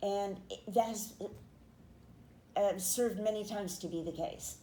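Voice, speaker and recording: A woman speaks at a moderate pace in a medium pitch, her tone dark and mellow and somewhat breathy. Her intonation stays fairly even, with audible room echo around her. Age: 70s. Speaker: poet and podcaster, author and painter. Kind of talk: interview testimony.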